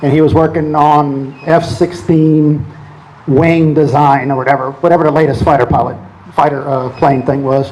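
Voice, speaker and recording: Against noticeable background noise, a man with a fairly high voice speaks at a moderate pace and fairly even intonation. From New Orleans, Louisiana. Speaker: oil company executive. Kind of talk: talk to an audience. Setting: event with audience.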